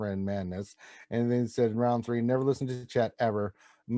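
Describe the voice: Someone does plain reading aloud here.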